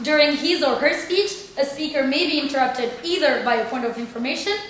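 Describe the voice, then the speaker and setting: With a high pitch and lively intonation, a woman talks amid light background noise and audible room echo. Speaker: debate chair. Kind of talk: formal announcement of rules. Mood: playful, formal. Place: classroom. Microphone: camera far.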